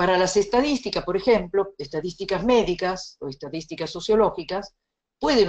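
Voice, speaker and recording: At a moderate pace, a woman with a slight Italian accent speaks with lively intonation. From Italy. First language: Italian (speaking Spanish). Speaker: bioethics lecturer. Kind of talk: lecture.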